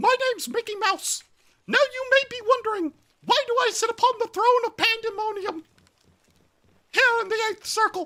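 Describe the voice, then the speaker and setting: A put-on character voice comes through squeaky and at an extremely high pitch. Long, frequent pauses break up the speech. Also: moderate pace. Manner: cartoonish, playful.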